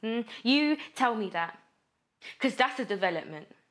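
In a furious tone, a woman swings her pitch very widely over a quiet background. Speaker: actor. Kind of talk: dramatic monologue performance, raw and confrontational. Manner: anguished, building to furious defiance; rhythmic, relentless repetition of accusing phrases. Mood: anguished, angry, intense. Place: studio.

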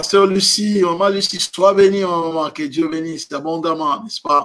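A man speaks in a high voice with a bright, sharp tone. His intonation stays fairly even, with light background noise behind him. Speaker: preacher. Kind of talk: sermon. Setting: online livestream from home. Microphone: webcam.

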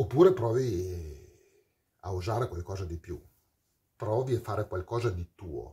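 Somewhat breathy and fairly low, a man's dark, mellow voice moves at a fairly slow pace with ordinary pitch variation. Long, frequent pauses break his speech over a quiet background. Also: big swings in loudness. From Parma, northern Italy; northern Italy. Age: 40s. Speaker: metal singer. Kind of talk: storytelling monologue. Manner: animated. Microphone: webcam.

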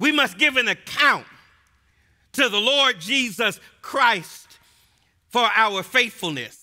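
An extremely high-pitched man's raised, projected voice, bright and sharp in tone, with lively intonation, very even loudness, a very slow pace and long, frequent pauses against a quiet background. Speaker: preacher. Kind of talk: expository sermon to a live audience. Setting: live audience in a gym. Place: church. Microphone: headset.

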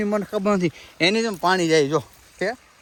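Ordinary pitch variation marks a man's high-pitched speech. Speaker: village vlogger and farmer. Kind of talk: casual vlog narration. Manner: animated.

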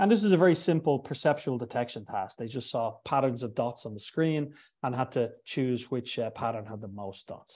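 A man's medium-pitched voice, dark and mellow in tone, with ordinary pitch variation at a fairly quick pace. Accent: Irish. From Ireland. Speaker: neuroscience professor; guest lecturer. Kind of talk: lecture. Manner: halting. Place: home room.

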